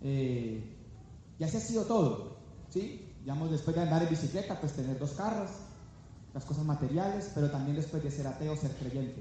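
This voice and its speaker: Amid audible room echo, a man with a fairly high pitch and an animated tone talks at a moderate pace with ordinary pitch variation and long, frequent pauses. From Colombia, Valle del Cauca (Palmira). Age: 30s. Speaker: business speaker. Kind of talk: motivational seminar talk. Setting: stage with live audience.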